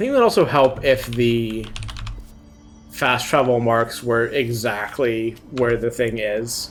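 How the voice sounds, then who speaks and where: Someone mumbles at a fairly slow pace. Music plays in the background. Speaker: video game streamer. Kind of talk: live gameplay stream chat. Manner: mumbling.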